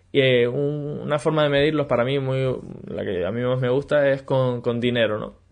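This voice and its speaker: A man speaks at a medium pitch. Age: 20s. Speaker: podcast host and business mentor. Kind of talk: solo podcast monologue. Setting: video recording for YouTube. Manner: animated, with frequent repetitions.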